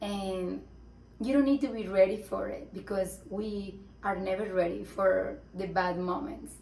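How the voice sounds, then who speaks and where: Fairly slow speech from a woman at medium pitch with ordinary pitch variation, amid audible room echo and noticeable background noise. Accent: Spanish. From Colombia. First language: Spanish. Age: 20s. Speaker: mom vlogger. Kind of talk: personal testimony vlog. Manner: halting, searching for words.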